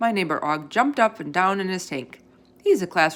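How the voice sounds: Lively intonation in a natural reading voice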